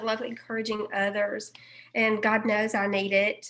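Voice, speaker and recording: A woman speaks with a Southern accent. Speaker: group member. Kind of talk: casual chat.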